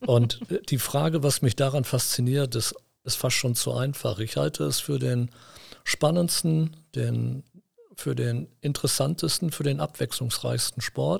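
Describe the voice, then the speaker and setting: In a dry, close recording with no echo, a man speaks at a fairly slow pace. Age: 50s. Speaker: company executive. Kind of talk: interview. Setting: studio.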